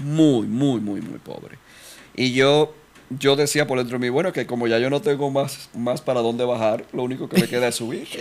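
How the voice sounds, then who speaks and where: Ordinary pitch variation marks a man talking at a moderate pace. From Dominican Republic. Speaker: voice-over artist. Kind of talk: interview answer. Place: studio. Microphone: studio mic.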